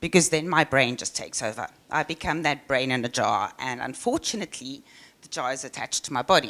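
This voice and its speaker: This woman talks at a fairly quick pace. She has a South African accent. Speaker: software engineer. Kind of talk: conference talk. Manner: halting.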